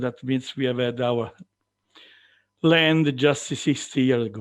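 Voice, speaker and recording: Speaking with an Italian accent at a fairly slow pace, the voice comes over a quiet background. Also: man. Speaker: farmer and farm organisation representative. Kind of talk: conference presentation. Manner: halting.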